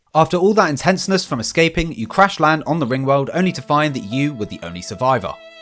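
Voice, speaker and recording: Music plays in the background as a man speaks at a very fast pace with hardly any pauses. His fairly high pitch carries lively intonation and big swings in loudness. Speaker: gaming youtuber. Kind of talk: recap narration. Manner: animated.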